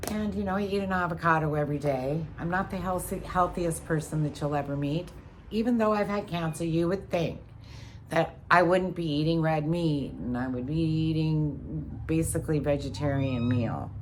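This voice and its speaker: Audible room echo surrounds a woman whose very deep, low voice moves at a moderate pace. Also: ordinary pitch variation. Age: 50s. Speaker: vlogger. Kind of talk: casual monologue. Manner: halting.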